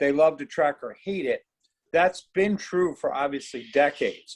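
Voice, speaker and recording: Recorded with a dry, close sound and no echo, a man with a normal speaking voice talks at a moderate pace in a fairly high pitch with ordinary pitch variation. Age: 60s. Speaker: horse racing fan. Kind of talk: casual discussion. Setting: video call.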